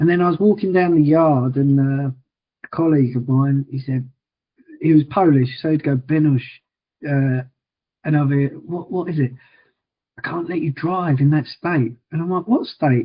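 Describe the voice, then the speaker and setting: In an Essex accent, the speaker sounds somewhat breathy, leaves long and frequent pauses, and uses ordinary pitch variation. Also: man, fairly high pitch for a man, moderate pace. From Liverpool, England. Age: 40s. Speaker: wheelchair challenge fundraiser with MS. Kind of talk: podcast interview. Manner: repetitive stammering starts.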